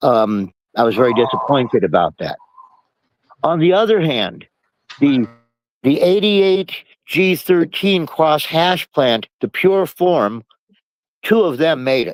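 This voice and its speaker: Here a man speaks at a fairly slow pace and fairly high pitch, with very wide pitch swings. Long, frequent pauses fill the dry, close sound with no echo. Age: 70s. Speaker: cannabis seed collector. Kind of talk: casual chat. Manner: halting.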